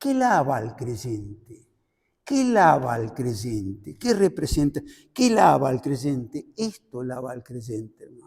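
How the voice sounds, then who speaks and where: A man's medium-pitched, somewhat breathy voice at a very slow pace, with lively intonation and big swings in loudness. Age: 70s. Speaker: preacher. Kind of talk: sermon.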